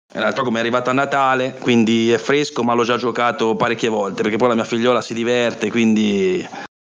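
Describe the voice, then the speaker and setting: Speaking very fast at a medium pitch, a man keeps a monotone, flat intonation with hardly any pauses. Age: 40s. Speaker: board gamer. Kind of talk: casual chat.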